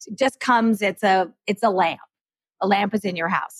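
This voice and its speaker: In a normal speaking voice, a woman of medium pitch talks at a moderate pace, the sound dry and close with no echo. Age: 50s. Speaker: professional declutterer and author. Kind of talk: interview. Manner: casual, uses fillers.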